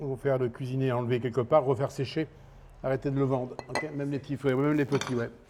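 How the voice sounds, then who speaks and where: Noticeable background noise sits behind a man speaking very fast. His pitch is medium and his intonation fairly even. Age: 60s. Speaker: chef. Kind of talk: interview. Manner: halting.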